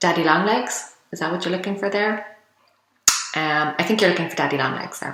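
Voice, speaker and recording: A woman with an Irish accent speaks at a medium pitch. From Ireland. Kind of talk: casual talk to camera.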